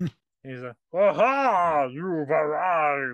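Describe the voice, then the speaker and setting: In a put-on character voice at middle pitch, the speaker sounds menacing at a very slow pace. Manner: gloating, menacing.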